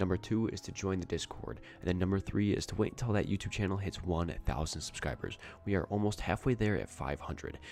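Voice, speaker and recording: With vocal fry and ordinary pitch variation, a man talks at a very fast pace in a very deep, low voice. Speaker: gaming streamer. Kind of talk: live gameplay stream commentary. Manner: casual, animated.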